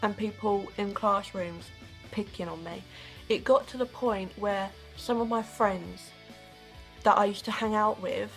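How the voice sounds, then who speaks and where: With music in the background, a woman in a British accent speaks at a fairly slow pace, with long, frequent pauses and big swings in loudness. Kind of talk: casual talk to camera.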